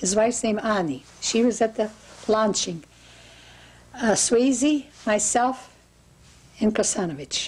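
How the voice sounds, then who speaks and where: A woman speaks at a fairly slow pace in a somewhat breathy, fairly high voice with lively intonation. Her loudness stays very even, broken by long, frequent pauses. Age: 80s+. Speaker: interviewee recalling historical events. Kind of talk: interview.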